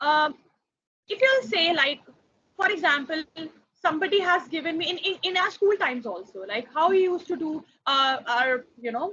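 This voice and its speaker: Raising and projecting her voice at an extremely high pitch, a woman speaks at a moderate pace with a bright, sharp tone, very wide pitch swings, and long, frequent pauses. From India. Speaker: foreign language trainer. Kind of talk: workshop presentation. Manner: hesitant, many fillers.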